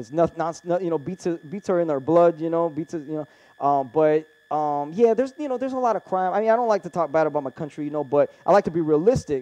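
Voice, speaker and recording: A man speaks very fast in a dark, mellow tone with lively intonation. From Brazil. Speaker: podcast host on UFOs. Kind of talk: casual interview. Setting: studio. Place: studio.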